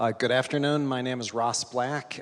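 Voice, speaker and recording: A man speaks with fairly even intonation. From Scotland, moved to US as child in 1981. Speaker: city community development director. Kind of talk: panel discussion. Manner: hesitant, many fillers and repeats.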